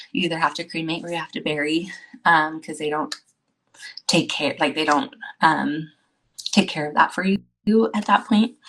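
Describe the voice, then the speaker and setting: A woman talks at a fairly low pitch with ordinary pitch variation. Her speech has long, frequent pauses. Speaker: guest sharing pregnancy loss story. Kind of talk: testimony. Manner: fast.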